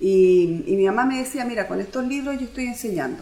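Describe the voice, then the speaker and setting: Very wide pitch swings at a fairly quick pace, with audible room echo. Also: woman. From Easter Island (Rapa Nui), Chile. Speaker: language student, mother. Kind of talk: interview testimony.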